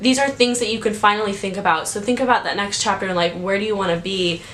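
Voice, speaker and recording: A very fast, animated voice amid noticeable background noise and audible room echo. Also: woman. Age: 20s. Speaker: YouTuber giving advice. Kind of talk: casual vlog. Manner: loud.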